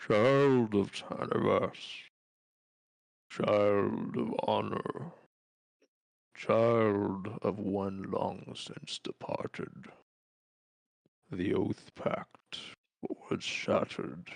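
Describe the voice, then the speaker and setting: A man puts on a loud character voice, talking at a very slow pace with long, frequent pauses. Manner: commanding, grand.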